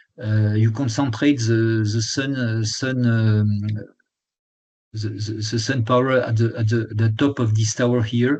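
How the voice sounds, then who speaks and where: In a room with audible echo, a man speaks fairly slowly at medium pitch with monotone, flat intonation. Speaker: lecturer, retired energy executive. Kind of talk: lecture. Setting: webinar. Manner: halting, many fillers and restarts.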